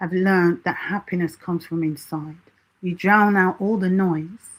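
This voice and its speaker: Fairly low in pitch, a woman speaks at a moderate pace with fairly even intonation. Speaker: self-help channel host. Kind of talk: live stream Q&A talk.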